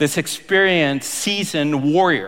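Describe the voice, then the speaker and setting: A man with a fairly high pitch, animated tone and lively intonation, at a fairly slow pace. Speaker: pastor. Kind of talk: sermon; dramatic narration, boxing-announcer style. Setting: church. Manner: theatrical, playful, ring-announcer bravado.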